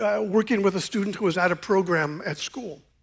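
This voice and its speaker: A man with an American accent at a moderate pace. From Eastern Washington, US. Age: 60s. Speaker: pastor. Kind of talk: sermon. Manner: casual, conversational with many fillers.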